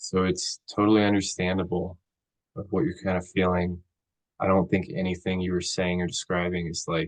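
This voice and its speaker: Soft-spoken and very deep, a man talks at a moderate pace in a flat monotone. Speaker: counseling student. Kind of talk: counseling role play. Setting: video call.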